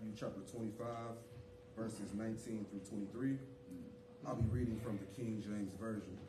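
Over noticeable background noise, a man with a fairly low pitch talks at a fairly slow pace in a monotone, flat intonation, leaving long, frequent pauses. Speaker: church leader. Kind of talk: scripture reading, call and response. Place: church.

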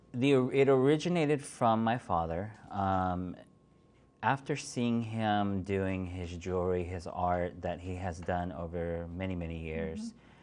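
A man's very deep, low voice at a fairly slow pace, with ordinary pitch variation. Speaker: interview guest. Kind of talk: interview answer. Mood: calm, reflective. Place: studio.

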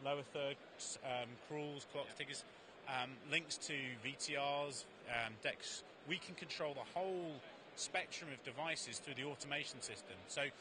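A man speaks at a fairly slow pace with fairly even intonation. The sound is dry with no echo, and there is noticeable background noise. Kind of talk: interview answer. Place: hall. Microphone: handheld.

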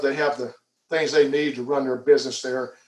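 A man's fairly high voice with an American accent and ordinary pitch variation, in a quiet background with audible room echo. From Alabama, Headland; Alabama. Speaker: airport manager. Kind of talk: interview. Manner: hesitant, many fillers. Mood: friendly, relaxed. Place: home room. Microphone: video call.

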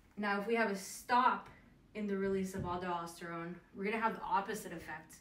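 A woman speaks at a moderate pace with ordinary pitch variation, and audible room echo surrounds her voice. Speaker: teacher. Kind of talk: lecture. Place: home room. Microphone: camera far.

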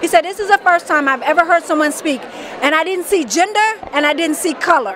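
Over crowd noise in a dry recording with no echo, a woman with an American accent speaks fairly quickly in an energetic tone, her extremely high pitch showing ordinary variation. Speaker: life coach. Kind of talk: interview. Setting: expo event. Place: hall. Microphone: handheld.

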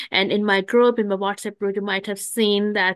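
The background stays quiet while a woman talks. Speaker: webinar host. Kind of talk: webinar announcements. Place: home room. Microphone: video call.

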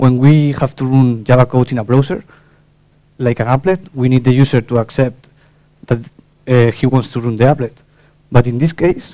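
At a moderate pace, a dark, mellow tone carries fairly even intonation, broken by long, frequent pauses against a quiet background. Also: man. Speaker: conference presenter. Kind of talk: technical talk. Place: hall.

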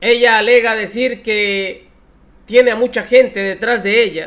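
This man talks at a fairly slow pace in an extremely high pitch. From Mexico. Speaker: political commentary youtuber. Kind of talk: political commentary. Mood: mocking, scornful. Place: home room. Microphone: headset.

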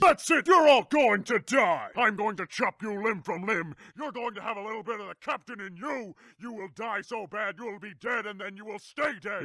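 A high-pitched man uses a raised, projected voice at a moderate pace, with big swings in loudness. The sound is dry and close, with no echo. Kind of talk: comic overacting. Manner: sarcastic, then raging.

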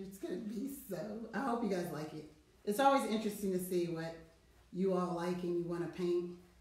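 A woman with a fairly low pitch speaks with audible room echo. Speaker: artist and painting instructor; painting instructor. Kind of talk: tutorial. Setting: studio. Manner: loud; casual. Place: studio. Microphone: no microphone, hard to hear; webcam.

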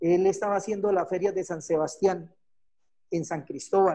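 In a quiet background, a man speaks at a high pitch. His pace is fairly quick and his intonation fairly even. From Colombia, Bucaramanga. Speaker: special effects technician. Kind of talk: online talk / technical presentation. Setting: video call. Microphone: video call.

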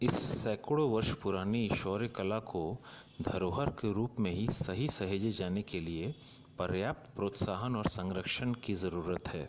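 This man has a plain, everyday voice, fairly low in pitch with ordinary pitch variation. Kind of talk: documentary narration.

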